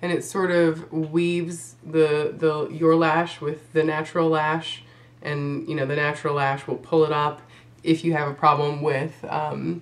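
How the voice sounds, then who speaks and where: Against noticeable background noise, a woman speaks at a fairly slow pace in a very deep, low voice with monotone, flat intonation. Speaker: beauty vlogger. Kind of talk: makeup tutorial talk to camera.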